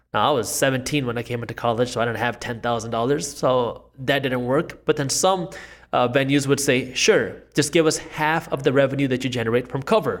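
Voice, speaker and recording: A man talks at a moderate pace with hardly any pauses, his pitch medium and its variation ordinary. It is a normal speaking voice. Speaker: entrepreneur and finance YouTuber. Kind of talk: interview conversation about finance.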